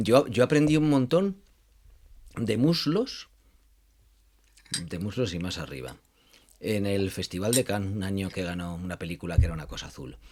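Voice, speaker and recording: On a very clean recording with a silent background, a man speaks at a moderate pace with very wide pitch swings, big swings in loudness and long, frequent pauses. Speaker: film radio show host. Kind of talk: casual interview chat.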